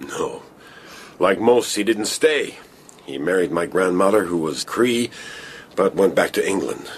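Using a put-on character voice with a slightly husky edge, a man speaks low-pitched and fairly slowly with lively intonation.

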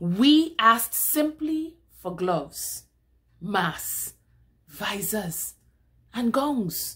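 Speaking at a very slow pace with long, frequent pauses, a woman uses a dramatic, solemn tone, a fairly high pitch and very wide pitch swings. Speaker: poetry reader. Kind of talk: spoken word poetry reading of a protest poem. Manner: measured, declamatory cadence with dramatic emphasis; solemn and accusatory, building rhetorical intensity. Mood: indignant, impassioned. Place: home room. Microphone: webcam.

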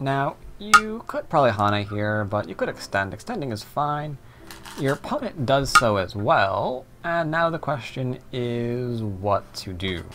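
Loud noise fills the background as a man speaks fairly slowly. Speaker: go teacher. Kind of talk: tutorial.

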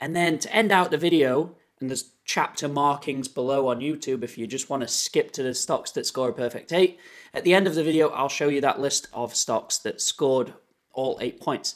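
A man at a moderate pace, with ordinary pitch variation, against a quiet background. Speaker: finance video creator. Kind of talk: tutorial. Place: home room.

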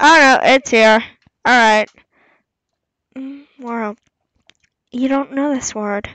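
A woman with a high pitch and a bright, sharp tone speaks at a very slow pace with long, frequent pauses, big swings in loudness and ordinary pitch variation, in a dry, close sound with no echo. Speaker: gamer. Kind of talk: let's play commentary. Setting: home microphone. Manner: casual, hesitant.

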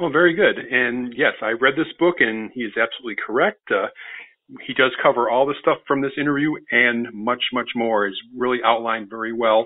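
With an ordinary speaking voice, a man talks at a moderate pace and medium pitch, his pitch varying in an ordinary way. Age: 50s. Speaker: podcast host and microbiologist. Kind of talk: interview.

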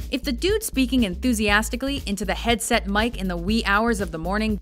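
With music in the background, the woman's words come at a fairly quick pace. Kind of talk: countdown list narration. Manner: wry, humorous.

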